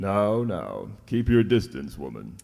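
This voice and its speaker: A man's put-on character voice, fairly low in pitch, at a fairly slow pace. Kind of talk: 1940s radio acting. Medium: audio drama. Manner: gruff, swearing, nautical commands.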